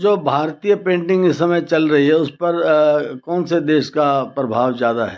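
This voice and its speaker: A man speaks in a normal speaking voice. His pitch is fairly high, with ordinary variation. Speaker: news reporter. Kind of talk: news report and interview questions.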